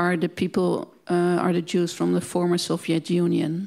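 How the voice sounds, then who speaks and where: A woman with a Dutch accent against a quiet background. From Netherlands. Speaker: museum director; guest. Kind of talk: panel discussion. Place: hall. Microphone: handheld.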